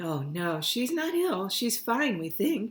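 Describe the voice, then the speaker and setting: A put-on character voice, fairly high in pitch, with very wide pitch swings. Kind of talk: professional. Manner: reassuring, professional.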